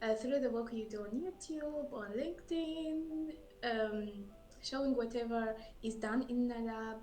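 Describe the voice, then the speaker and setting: Music plays in the background and room echo is audible as a woman with a French accent speaks at a fairly slow pace, using a fairly high pitch and lively intonation. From Burundi. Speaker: scientist. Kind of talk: interview. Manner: halting.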